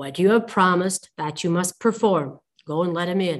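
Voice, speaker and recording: A woman puts on a character voice at a medium pitch, moving at a moderate pace. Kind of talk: storybook reading. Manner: stern, commanding.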